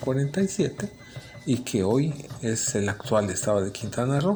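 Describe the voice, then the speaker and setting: Music in the background behind a man at medium pitch and a fairly slow pace. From Felipe Carrillo Puerto, Quintana Roo, Mexico. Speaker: city chronicler. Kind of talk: interview answer.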